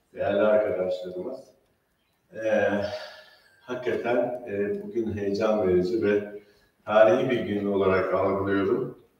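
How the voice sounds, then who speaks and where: A man speaks at a fairly low pitch and a moderate pace. Audible room echo surrounds his voice. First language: Turkish. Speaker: physician and foundation founder. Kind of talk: opening speech. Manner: halting, many fillers.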